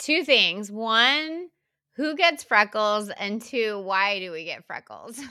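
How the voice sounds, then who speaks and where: Speaking very slowly with an American accent, a woman uses a bright, sharp tone at a fairly high pitch, with very wide pitch swings and big swings in loudness, on a very clean recording with a silent background. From deep South Texas. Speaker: podcast co-host. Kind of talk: casual chat. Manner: loud laugh.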